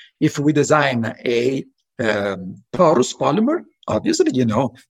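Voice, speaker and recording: A man's somewhat breathy voice at a medium pitch and a fairly slow pace. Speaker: professor. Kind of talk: interview.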